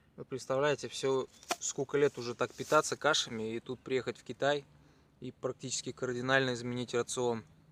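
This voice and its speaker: The sound is dry and close with no echo. A man speaks at a medium pitch in a monotone, flat intonation, with big swings in loudness. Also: moderate pace. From Chuvashia, Russia. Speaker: cycling traveler vlogger. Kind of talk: travel vlog. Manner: quiet, low-energy.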